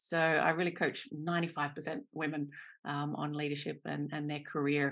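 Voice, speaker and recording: A woman's very deep, low-pitched voice at a moderate pace, over a quiet background. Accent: Australian. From Australia. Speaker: career coach. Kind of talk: podcast interview.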